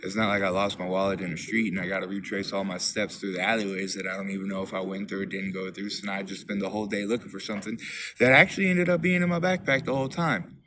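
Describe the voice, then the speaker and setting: A man talks at a very fast pace with hardly any pauses. His pitch is fairly low, with ordinary variation. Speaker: recovering alcoholic vlogger. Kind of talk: personal testimony monologue. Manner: halting, repetitive.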